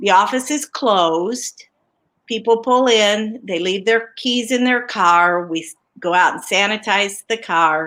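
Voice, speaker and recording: A woman speaks in a plain, everyday voice, fairly high-pitched with ordinary pitch variation. Her pace is fairly slow, and the recording is very clean with a silent background. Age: 60s. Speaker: small business owner. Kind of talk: interview.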